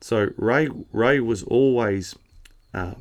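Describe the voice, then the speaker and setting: Against a silent background in a very clean recording, a man speaks with a rural Australian accent and fairly even intonation. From New South Wales, Australia. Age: 40s. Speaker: cutting horse trainer. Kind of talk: casual interview. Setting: at a showground.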